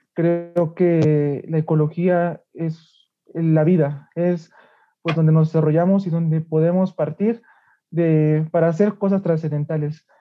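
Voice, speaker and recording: Very slow and monotone, a man talks in a fairly high pitch with flat intonation. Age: 20s. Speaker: law student, student leader. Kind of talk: interview.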